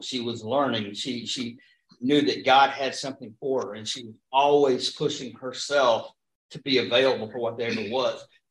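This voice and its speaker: This man has an ordinary speaking voice. He talks at a moderate tempo and a medium pitch. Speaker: pastor. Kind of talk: Bible study discussion. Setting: church.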